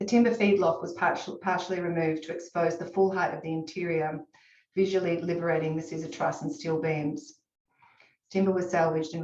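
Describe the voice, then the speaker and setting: Fairly quick in pace, a woman speaks with a fairly low pitch. Her intonation is fairly even. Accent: Australian. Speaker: architect. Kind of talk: presentation to awards jury. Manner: halting.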